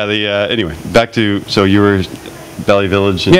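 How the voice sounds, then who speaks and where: A man speaks at a fairly quick pace with a fairly low pitch. His intonation stays fairly even over noticeable background noise. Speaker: artist, interview guest.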